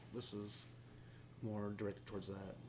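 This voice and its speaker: A man speaking at a fairly quick pace. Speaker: podcast co-host covering gaming news. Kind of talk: casual chat. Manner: fast.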